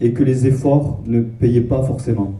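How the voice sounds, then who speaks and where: A man's dark, mellow, somewhat breathy voice with fairly even intonation and audible room echo. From southwest France, Castres. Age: 20s. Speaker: Bible school student. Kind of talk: testimony. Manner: halting.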